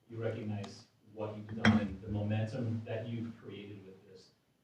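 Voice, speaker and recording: Moderate-paced speech from a man, fairly low in pitch, with audible room echo. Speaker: city council member. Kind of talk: public meeting remarks.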